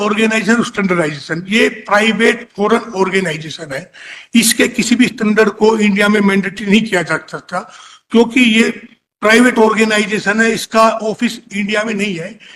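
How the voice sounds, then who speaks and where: A man talks with a high pitch. His intonation stays fairly even. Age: 80s+. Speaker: petitioner arguing own case in court; engineering materials testing laboratory owner. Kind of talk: courtroom argument. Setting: courtroom.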